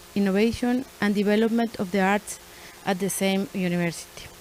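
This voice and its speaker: Here a woman speaks with a Spanish accent at medium pitch and fairly even intonation. There is noticeable background noise. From Mexico, Nuevo León. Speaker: artist and art teacher, panel moderator. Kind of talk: panel moderation. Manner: halting, many fillers and restarts.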